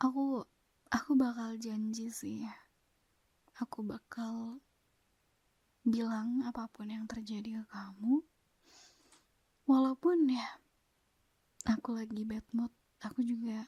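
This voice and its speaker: Soft-spoken and fairly high-pitched, a woman talks at a very slow pace with long, frequent pauses and big swings in loudness. Her tone is dark and mellow, her intonation fairly even. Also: dry, close sound with no echo. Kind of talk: ASMR girlfriend roleplay.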